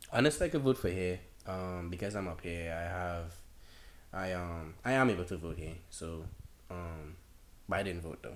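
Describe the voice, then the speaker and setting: A man with a Trinidadian accent speaks at a moderate pace with a very deep, low pitch and ordinary pitch variation. Long, frequent pauses break up his speech, and the room echo is audible. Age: 20s. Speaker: college student. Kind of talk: casual chat.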